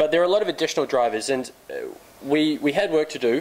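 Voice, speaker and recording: With ordinary pitch variation, a man talks fairly quickly as noticeable background noise plays beneath him. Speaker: company CEO, conference speaker. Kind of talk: conference presentation. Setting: conference stage with audience. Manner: fast.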